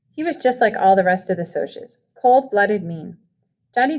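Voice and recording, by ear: With a quiet background behind them, the speaker is reading aloud in a natural voice.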